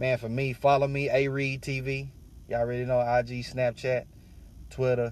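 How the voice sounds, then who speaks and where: At a moderate pace, a man with a medium-pitched voice speaks in a monotone, flat intonation. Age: 30s. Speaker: podcast host. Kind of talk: personal reflection monologue. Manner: casual, filler-heavy, repetitive.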